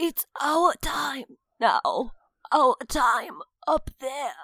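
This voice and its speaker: A woman performs a put-on character voice at a high pitch. She delivers it at a very slow pace. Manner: crazy, strained, as if choking.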